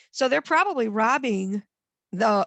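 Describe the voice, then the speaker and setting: Lively female intonation with a Midwestern American accent, a quiet background and a dry, close sound with no echo. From northwest Ohio. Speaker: master gardener volunteer coordinator. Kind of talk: lecture. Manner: fast.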